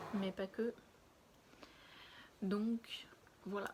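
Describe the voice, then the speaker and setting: At a very slow pace, a woman speaks in a somewhat breathy voice with fairly even intonation. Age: 20s. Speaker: lifestyle vlogger. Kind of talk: casual vlog chat. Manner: hesitant, many fillers.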